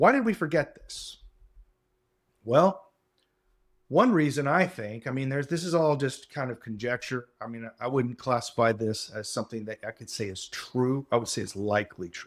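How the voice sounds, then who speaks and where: This man has a normal speaking voice at medium pitch, with lively intonation. He keeps a moderate pace, and his loudness swings widely. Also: very clean recording, silent background. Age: 60s. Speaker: podcast host. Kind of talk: solo monologue lecture. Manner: casual, hedging with fillers.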